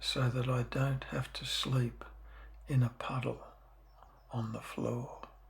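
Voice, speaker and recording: A man at a very slow pace with noticeable background noise. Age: 70s. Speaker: dinghy sailor. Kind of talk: show-and-tell tutorial; narration. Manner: casual.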